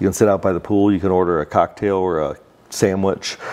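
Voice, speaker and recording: At a moderate pace, a man with an American accent speaks in a very deep, low pitch with a dark, mellow tone. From Central Florida (Winter Park); Central Florida. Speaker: real estate developer. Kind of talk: interview. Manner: halting. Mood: relaxed, friendly. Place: office. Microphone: lapel.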